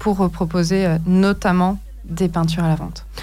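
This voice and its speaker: A woman speaks at a very slow pace and medium pitch. Noticeable background noise and audible room echo are present. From Paris region, France. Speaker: painter. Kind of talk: radio interview. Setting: radio studio.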